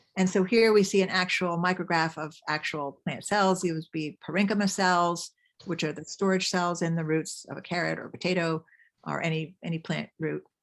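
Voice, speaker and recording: A woman talks at a moderate pace in an unremarkable speaking voice, fairly low in pitch with fairly even intonation. The recording is very clean with a silent background. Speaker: mycologist giving a talk. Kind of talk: lecture.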